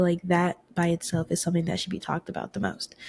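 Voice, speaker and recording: A woman with a medium pitch and a dark, mellow, somewhat breathy tone speaks at a fairly quick pace, the sound dry and close with no echo. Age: 20s. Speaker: podcast host. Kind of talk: casual monologue. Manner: fast; animated.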